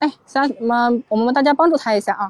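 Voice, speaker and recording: A woman's voice, dry and close with no echo, shows ordinary pitch variation. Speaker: golf coach. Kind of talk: casual chat. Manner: soft-spoken.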